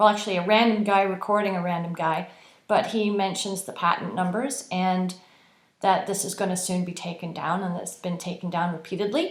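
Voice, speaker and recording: A woman is speaking. Her voice carries audible room echo. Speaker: former ICU nurse, video blogger. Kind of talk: casual video commentary. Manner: hesitant, many fillers.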